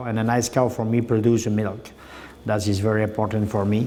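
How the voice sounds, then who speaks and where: A man with a Quebec accent speaks at a moderate pace and medium pitch, in a monotone, flat intonation. Noticeable background noise and audible room echo surround him. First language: French. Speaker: dairy farmer and cattle breeder. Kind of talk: farm tour interview. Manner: halting, many hesitations.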